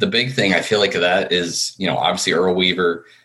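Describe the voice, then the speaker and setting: A very deep, low male voice with an American accent at a fairly quick pace, set against noticeable background noise. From central New Jersey. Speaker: sports fan guest. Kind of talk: casual chat.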